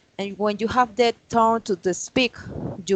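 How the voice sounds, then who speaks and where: The sound is dry and close, without echo. A woman talks at a fairly slow pace. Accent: Colombian. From Colombia, Santander. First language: Spanish. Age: 30s. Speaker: English teacher. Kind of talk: online English class. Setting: video call.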